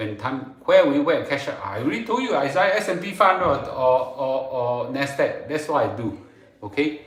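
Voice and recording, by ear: A man at medium pitch, big pitch swings, moderate pace and strong room echo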